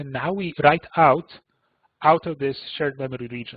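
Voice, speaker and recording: At a fairly quick pace, a man uses a plain, everyday voice with a fairly high pitch and ordinary pitch variation. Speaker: computing analyst presenting a seminar. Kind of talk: technical webinar lecture. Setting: online webinar.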